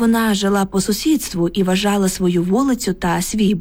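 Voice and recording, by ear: The voice reads aloud and sounds natural.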